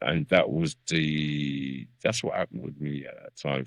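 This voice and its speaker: A very deep, low male voice with a dry, close sound and no echo. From South London. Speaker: veteran MC. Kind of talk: podcast interview.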